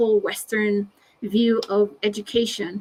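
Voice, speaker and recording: The speaker is a woman. Her pitch is fairly high. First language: Navajo. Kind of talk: webinar presentation. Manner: halting, many fillers.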